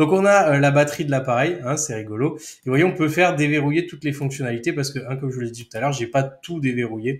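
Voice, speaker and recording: Talking at a very fast pace with hardly any pauses, a man with a fairly high pitch and a somewhat breathy voice shows ordinary pitch variation and big swings in loudness on a very clean recording with a silent background. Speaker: software trainer. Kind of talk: tutorial. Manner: casual, chatty.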